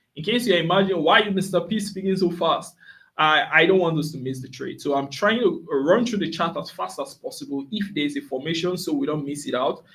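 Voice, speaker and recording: Here a man talks at a fairly quick pace, high in pitch, with ordinary pitch variation. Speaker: forex trader and signals provider. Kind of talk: live trading stream commentary. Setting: live stream. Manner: fast; filler-heavy, repetitive.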